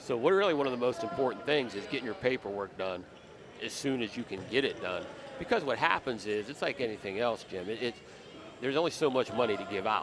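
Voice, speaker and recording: A man's very fast speech at medium pitch, with lively intonation and noticeable background noise. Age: 60s. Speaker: college basketball coach. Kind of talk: casual interview. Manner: halting, many repeated words.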